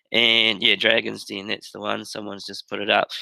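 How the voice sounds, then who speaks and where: A man speaks with a New Zealand accent. He keeps a moderate pace. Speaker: teacher. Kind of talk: webinar presentation. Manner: halting.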